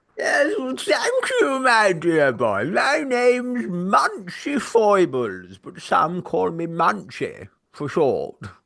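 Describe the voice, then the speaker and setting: This man talks at a very slow pace. He uses a put-on character voice. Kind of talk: very posh, upper-class.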